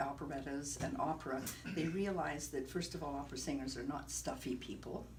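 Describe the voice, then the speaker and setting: A woman's fairly quick pace and lively intonation, with audible room echo. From partly Caribbean (Trinidad). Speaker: opera singer and director. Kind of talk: interview.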